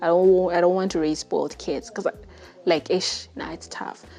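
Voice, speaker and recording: The voice belongs to a woman. She has a Zimbabwean accent. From Zimbabwe, Bulawayo. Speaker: podcast host. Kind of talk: testimony. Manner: casual, halting.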